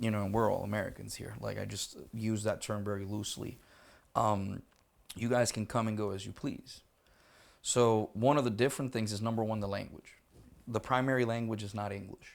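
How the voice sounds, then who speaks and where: Recorded very cleanly against a silent background, a man with a Spanish accent and a fairly low pitch talks at a fairly quick pace with fairly even intonation. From Puerto Rico. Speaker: military interpreter and educator. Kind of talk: casual podcast interview. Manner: casual, swears, conversational.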